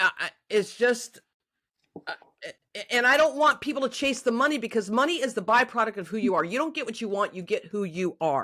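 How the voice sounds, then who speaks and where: A woman speaks loudly at a fairly quick pace, her fairly high voice bright and sharp, with an animated tone and lively intonation. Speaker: life coach and podcast host. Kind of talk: casual interview chat.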